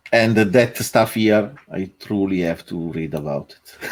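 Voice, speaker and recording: Speaking with an Italian accent, a man keeps a very slow pace. His pitch is fairly low, with ordinary variation. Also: long, frequent pauses, big swings in loudness. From Italy. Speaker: co-host programmer. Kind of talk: casual chat. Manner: hesitant, many fillers.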